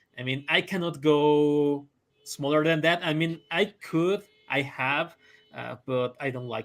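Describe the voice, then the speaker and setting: With a Spanish accent, a man talks at a fairly slow pace and fairly high pitch, using ordinary pitch variation. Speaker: comic artist. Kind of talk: interview. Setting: live stream. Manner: halting.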